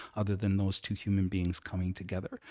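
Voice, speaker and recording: A plain, everyday voice at a fairly quick pace, dry and close with no echo, in a very clean recording with a silent background. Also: man. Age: 60s. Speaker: life model. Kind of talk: interview.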